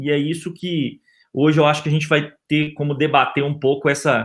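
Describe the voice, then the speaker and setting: Speaking in a Minas Gerais accent, a man with a fairly high pitch keeps a moderate pace and a monotone, flat intonation. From Brazil, Minas Gerais. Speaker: physician and health insurance executive. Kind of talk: webinar panel talk. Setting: online webinar. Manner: hesitant, many fillers.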